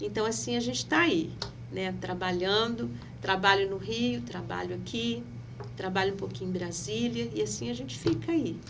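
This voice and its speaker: Audible room echo and noticeable background noise around a woman at a moderate pace. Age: 60s. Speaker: pastor and local politician. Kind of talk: podcast interview.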